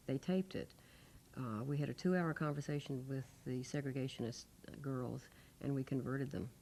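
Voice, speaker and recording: Speaking with a Southern US accent, a woman uses a very deep, low pitch and a dark, mellow tone at a moderate pace with fairly even intonation, in a very clean recording against a silent background. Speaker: former student, civil rights witness. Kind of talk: oral history interview answer.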